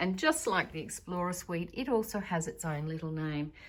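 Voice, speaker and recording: The recording is very clean, with a silent background. A woman talks at a moderate pace with lively intonation. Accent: Australian. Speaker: guesthouse owner. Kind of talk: home tour vlog. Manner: breathless at times.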